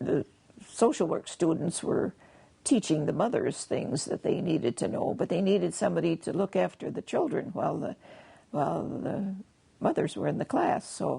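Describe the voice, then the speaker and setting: A woman with an Upper Midwest accent at a moderate pace. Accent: Upper Midwest American. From Wisconsin. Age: 80s+. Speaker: retired kindergarten teacher. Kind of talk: interview answer.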